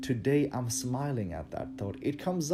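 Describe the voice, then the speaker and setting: Background music plays throughout. Over it, a man talks with ordinary pitch variation. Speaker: dance instructor. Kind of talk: motivational talk. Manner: halting.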